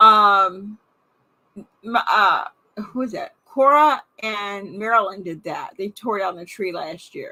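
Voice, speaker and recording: A raised, projected woman's voice, bright and sharp in tone, at a very slow pace. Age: 60s. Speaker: vlogger doing a livestream. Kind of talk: casual live chat with viewers. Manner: halting, many fillers and restarts. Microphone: new microphone being tested.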